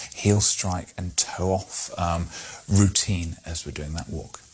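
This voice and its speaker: There is noticeable background noise as a man speaks in a calm tone. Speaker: clinical examiner or medical educator demonstrating a hip examination. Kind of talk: clinical teaching demonstration. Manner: calm, explanatory.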